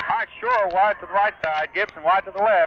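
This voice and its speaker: Sounding excited, a man speaks at a high pitch against noticeable background noise. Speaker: radio play-by-play announcer. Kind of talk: live radio sports play-by-play. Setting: radio broadcast from a football stadium, 1978 recording. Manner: fast, excited, rapid-fire.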